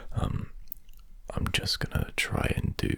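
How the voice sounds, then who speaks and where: Whispering, a man speaks over noticeable background noise. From British. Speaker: ASMR creator. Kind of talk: ASMR casual ramble. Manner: soft-spoken.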